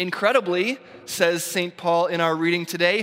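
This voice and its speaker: A man's raised, projected voice with an American accent, at a fairly slow pace. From US Northeast. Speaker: pastor. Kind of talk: sermon.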